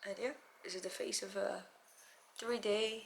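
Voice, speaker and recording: Noticeable background noise is heard. A woman talks over it. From Mexico. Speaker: beauty vlogger. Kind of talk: personal video diary.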